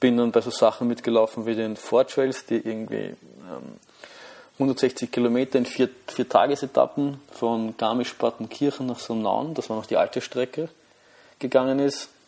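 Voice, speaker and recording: In a Viennese accent, a man speaks at a moderate pace with a medium pitch and fairly even intonation. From Austria, Vienna. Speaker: amateur runner podcaster. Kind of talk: solo monologue podcast. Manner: halting, many fillers and repetitions.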